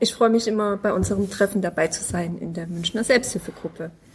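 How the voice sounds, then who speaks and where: A woman's somewhat breathy voice comes through with ordinary pitch variation. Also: hardly any pauses. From Munich. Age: 40s. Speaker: self-help group member, patient. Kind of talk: casual chat. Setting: at a medical conference.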